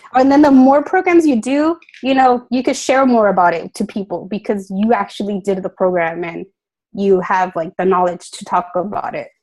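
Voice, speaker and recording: A woman talks at a medium pitch. Her intonation is lively. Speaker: fitness coach. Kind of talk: team call presentation.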